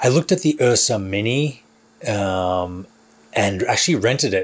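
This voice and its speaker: Here a man speaks with lively intonation. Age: 40s. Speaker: filmmaker and YouTuber. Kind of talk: vlog monologue to camera. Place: studio.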